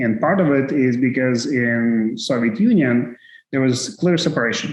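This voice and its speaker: With a Russian accent, a man speaks at a moderate pace and medium pitch, with ordinary pitch variation and very even loudness. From Ukraine. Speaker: tech executive. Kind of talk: interview.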